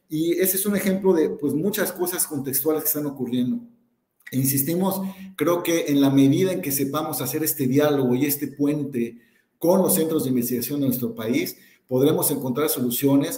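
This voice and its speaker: A man's fairly high, dark, mellow voice, somewhat breathy, at a moderate pace. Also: ordinary pitch variation. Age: 40s. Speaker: corporate sustainability director and university lecturer. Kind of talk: live webinar panel discussion. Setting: online webinar, live stream.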